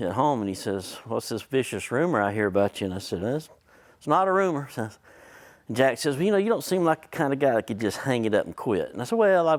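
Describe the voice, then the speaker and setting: Pitch swings very widely at a fairly quick pace in this very clean recording with a silent background. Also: man, medium pitch for a man. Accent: Southern US. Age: 60s. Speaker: hospital facilities consultant. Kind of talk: conference presentation. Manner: casual, folksy.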